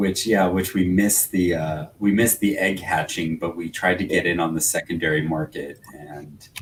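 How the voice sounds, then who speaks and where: A man's very deep, low voice at a moderate pace, with fairly even intonation and hardly any pauses. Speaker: podcast co-host. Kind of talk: casual chat.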